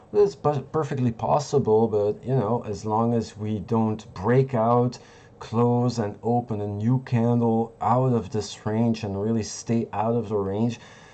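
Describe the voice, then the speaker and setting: A man with a non-native accent, medium in pitch and dark and mellow in tone, at a fairly slow pace with hardly any pauses and fairly even intonation. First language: not English. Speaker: crypto trading streamer. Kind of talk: live market analysis stream. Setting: live stream. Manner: halting, searching for words.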